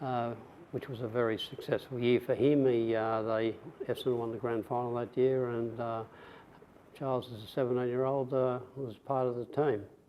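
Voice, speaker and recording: Speaking at a moderate pace, a man with an Australian accent keeps a medium pitch and a flat, monotone intonation. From Australia, rural western Victoria. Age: 70s. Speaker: veteran, former footballer and police officer. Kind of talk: oral history interview. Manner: halting, many fillers.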